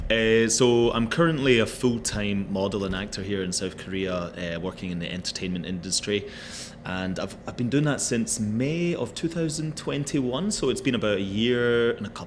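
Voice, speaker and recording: A man with a Scottish accent speaks at a moderate pace, his medium-pitched voice carrying lively intonation. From Scotland. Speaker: actor and model. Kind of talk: casual chat.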